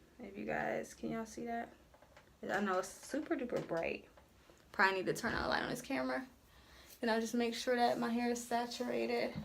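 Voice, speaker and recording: At a fairly quick pace, a woman talks with long, frequent pauses amid audible room echo. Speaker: beauty vlogger. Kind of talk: tutorial. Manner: casual, conversational.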